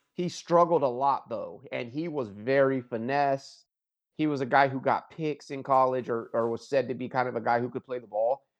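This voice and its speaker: At a moderate pace, a man talks in an ordinary speaking voice of medium pitch with fairly even intonation. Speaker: sports podcast co-host. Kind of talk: casual sports banter. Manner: casual, profane, conversational.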